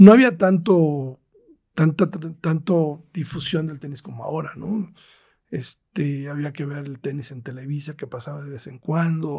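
A man with a fairly high voice speaks somewhat breathily in a dark, mellow tone, his pitch moving in an ordinary way. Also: big swings in loudness. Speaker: tennis tournament promoter. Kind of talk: interview.

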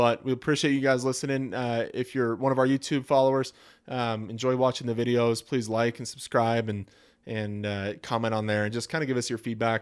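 In a very clean recording with a silent background, a man with an ordinary speaking voice talks at a fairly quick pace, medium in pitch, with fairly even intonation. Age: 30s. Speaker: car podcast co-host. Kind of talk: casual chat.

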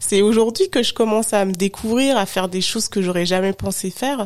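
An ordinary speaking voice from a woman, medium in pitch, at a moderate pace with ordinary pitch variation. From France, Haute-Savoie. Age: 30s. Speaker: digital consultant and podcaster. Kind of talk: interview.

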